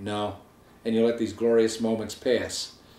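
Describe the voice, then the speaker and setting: There is audible room echo around this man's voice. He speaks at a fairly quick pace with a medium pitch. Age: 60s. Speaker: weight-loss surgery patient. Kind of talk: personal testimony to camera. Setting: home video filmed by wife. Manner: casual conversational.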